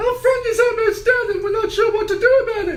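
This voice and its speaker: A squeaky, put-on character voice at an extremely high pitch rattles along at a fairly quick pace over clear background noise. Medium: actual play. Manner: loud, rushed, breathless.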